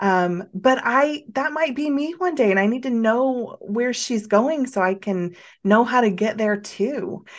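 Against a quiet background, a woman talks fairly slowly in a normal speaking voice with hardly any pauses. Her fairly high voice carries lively intonation. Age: 40s. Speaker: podcast host. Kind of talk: casual interview chat.

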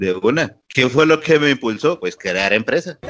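The speaker has a normal speaking voice. The intonation is lively, and the pace is moderate. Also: man. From Colombia, Bucaramanga. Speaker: webcam studio owner. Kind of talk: casual interview.

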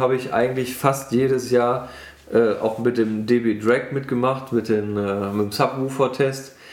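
Delivered at a fairly slow pace with fairly even intonation, the speech carries audible room echo and noticeable background noise. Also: man. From western Germany, Bergisches Land (Wermelskirchen). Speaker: car enthusiast. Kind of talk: casual chat.

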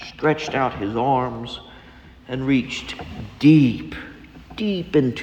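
The reading is done in an unforced voice.

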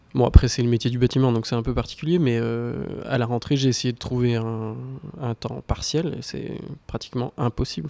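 Pitch varies in an ordinary way across a dark, mellow tone. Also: man, medium pitch for a man, moderate pace. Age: 30s. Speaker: carpenter. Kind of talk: debate.

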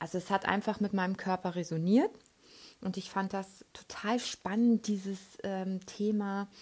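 A somewhat breathy woman at medium pitch, monotone and flat, at a fairly slow pace, in a very clean recording with a silent background. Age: 30s. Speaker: podcast host and relaxation trainer. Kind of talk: casual monologue. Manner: hesitant, many fillers.

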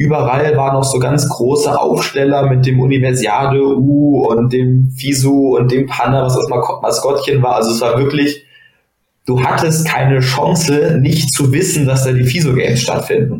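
A man with a normal speaking voice talks at a moderate pace in a fairly high pitch. His intonation is fairly even and his loudness very even. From Germany, Bonn. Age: 20s. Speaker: judoka and medical student. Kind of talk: casual interview.

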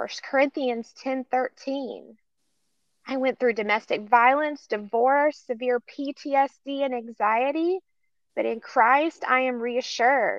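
Her voice is high-pitched, and she speaks at a very slow pace. The woman's intonation stays fairly even. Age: 50s. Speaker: trafficking survivor and advocate. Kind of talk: testimony.

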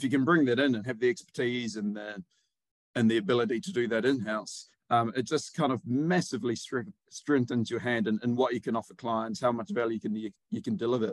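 Talking at a fairly quick pace with a New Zealand accent, a man keeps a medium pitch with ordinary pitch variation. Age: 30s. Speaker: PR agency director. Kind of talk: interview.

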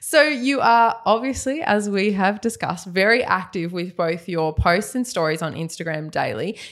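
In an Australian accent, a woman of medium pitch speaks at a moderate pace with lively intonation and hardly any pauses. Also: very clean recording, silent background. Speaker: nurse and cosmetic injector, podcast host. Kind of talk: casual interview chat. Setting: studio, video podcast.

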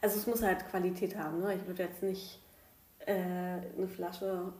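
A woman talks at a fairly slow pace in a medium pitch, somewhat breathy, with a dark, mellow tone. Her intonation is monotone and flat, and the room echo is audible. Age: 30s. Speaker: podcast host, primary school worker. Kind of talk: casual chat. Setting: at home at the dining table.

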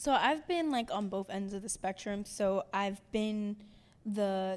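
With an American accent, this woman has an ordinary speaking voice at a medium pitch, talking at a moderate pace on a very clean recording with a silent background. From Cincinnati, Ohio. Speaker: culture curator and poet. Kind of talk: panel discussion.

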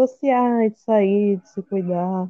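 A woman speaks at a very slow pace. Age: 20s. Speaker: veterinary student. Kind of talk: casual conversation, personal testimony.

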